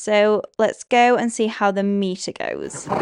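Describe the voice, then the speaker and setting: A woman with a Yorkshire accent, fairly high pitch, ordinary pitch variation and a fairly slow pace. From Yorkshire, northern England. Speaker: equestrian vlogger. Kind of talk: vlog commentary.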